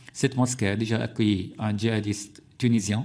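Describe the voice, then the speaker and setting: A somewhat breathy man with an Arabic accent at a moderate pace. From Syria. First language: Arabic (speaking French). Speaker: journalist and author. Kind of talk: parliamentary committee testimony. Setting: parliamentary hearing room. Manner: halting, many hesitations.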